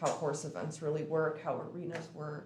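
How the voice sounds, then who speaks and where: A woman speaks at a moderate pace in a very deep, low voice with flat, monotone intonation. Noticeable background noise and audible room echo fill the recording. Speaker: public commenter, mounted archery group leader. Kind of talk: public comment at city meeting. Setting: city commission meeting. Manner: halting, many fillers.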